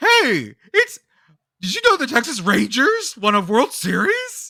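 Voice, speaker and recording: A put-on character voice, female-sounding and high-pitched, with a playful, upbeat tone at a fairly slow pace. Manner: silly, playful, upbeat.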